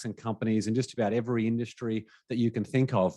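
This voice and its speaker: A man with an Australian accent at a fairly quick pace, in a dry, close sound with no echo. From Australia, Brisbane. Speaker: business coach and podcast host. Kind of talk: webinar presentation. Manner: animated.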